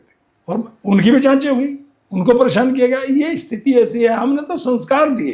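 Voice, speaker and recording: At a moderate pace, a man talks in an extremely high pitch with lively intonation. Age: 70s. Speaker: retired volleyball captain. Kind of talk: interview.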